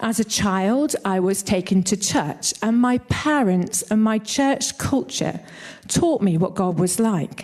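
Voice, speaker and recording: A woman with a northern English accent speaks at a fairly slow pace and a medium pitch. Her tone is dark and mellow, and her intonation is lively. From northern England. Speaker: church leader. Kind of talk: sermon.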